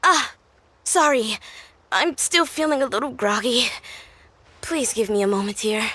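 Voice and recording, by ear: A woman's put-on character voice, fairly high and bright, sharp in tone, with lively intonation at a fairly slow pace.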